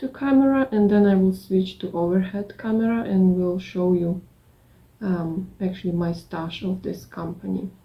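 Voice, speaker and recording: A woman with a non-native accent speaks at a fairly slow pace and medium pitch, somewhat breathy, her intonation fairly even. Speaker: craft vlogger. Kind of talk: casual vlog. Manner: halting.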